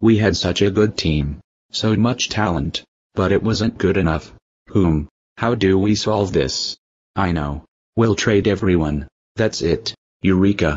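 A man speaks at a fairly slow pace with a fairly low pitch and very even loudness. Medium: machinima. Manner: shocked, then manic and vindictive.

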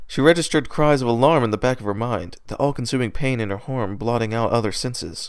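A speaker is reading aloud in a natural voice. The pitch moves with ordinary variation.

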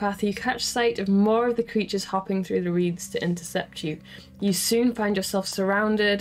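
An unforced reading voice is heard throughout.

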